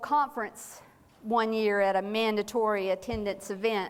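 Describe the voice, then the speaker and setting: Here a woman talks with a Southern US accent. Her pace is moderate. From North Carolina (small town). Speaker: clergywoman and church safety trainer. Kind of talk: seminar talk. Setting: church meeting with audience.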